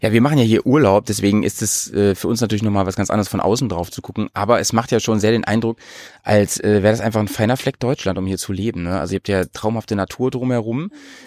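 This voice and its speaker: Speaking at a very fast pace, a man has a medium pitch and ordinary pitch variation. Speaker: podcast host. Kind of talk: casual chat. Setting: on a train. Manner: animated.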